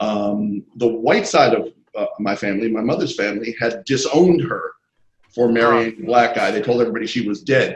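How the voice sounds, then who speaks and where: The speaker has a New York accent and talks at a fairly quick pace. Pitch variation is ordinary. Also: man, medium pitch for a man. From New York City (Queens). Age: 60s. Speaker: screenwriter and comic book artist. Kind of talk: interview. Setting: video call.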